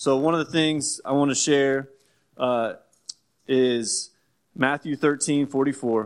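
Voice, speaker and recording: This man has an ordinary speaking voice, fairly high in pitch, with an American accent and a fairly slow pace. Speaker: church planter. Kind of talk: church announcement talk. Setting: church.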